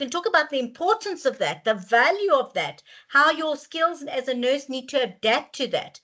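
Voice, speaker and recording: A woman speaks at a moderate pace in a raised, projected voice, her pitch high and her tone bright, sharp and animated, with lively intonation. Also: hardly any pauses. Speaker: webinar facilitator. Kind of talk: webinar Q&A answer. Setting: online webinar. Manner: loud.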